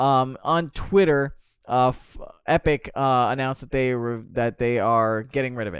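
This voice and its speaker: Very clean, with a silent background, the recording captures a man at medium pitch. His pitch variation is ordinary. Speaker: podcast co-host. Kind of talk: casual chat. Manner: fast; animated.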